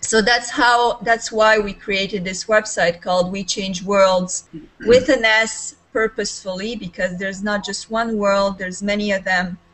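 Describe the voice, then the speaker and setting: A woman with a Serbian accent, medium in pitch, fairly even in intonation and fairly slow in pace. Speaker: life coach. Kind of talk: video call discussion.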